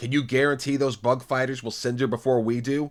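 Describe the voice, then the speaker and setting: A man puts on a character voice at a medium pitch. He talks at a fairly quick pace with a monotone, flat intonation. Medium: read story. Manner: calm, bitter.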